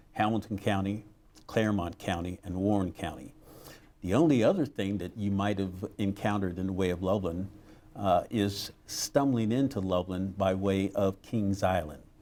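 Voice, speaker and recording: Very clean recording with a silent background, a dark, mellow tone in an American accent, a moderate pace and ordinary pitch variation. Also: man, fairly low pitch for a man. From Ohio, US Midwest. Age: 60s. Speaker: retired teacher, guest speaker. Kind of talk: speech. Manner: halting, many fillers.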